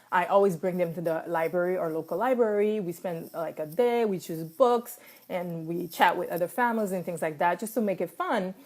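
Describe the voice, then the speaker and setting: A woman with a French accent at a medium pitch, fairly quick and with hardly any pauses, ordinary pitch variation, on a very clean recording with a silent background. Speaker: life coach. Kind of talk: casual talk to camera, live stream. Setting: Facebook live video. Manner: hesitant, many fillers.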